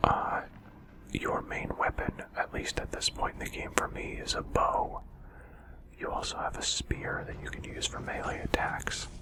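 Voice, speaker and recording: Noticeable background noise sits behind this voice. A man is whispering. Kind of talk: whispered gaming commentary. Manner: whispered, soft-spoken.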